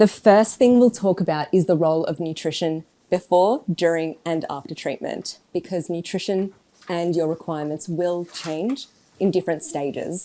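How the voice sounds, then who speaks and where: With an Australian accent, a woman speaks at a moderate pace. Her fairly low voice has a dark, mellow tone and ordinary pitch variation. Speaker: oncology dietitian. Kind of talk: talk to an audience. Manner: careful enunciation.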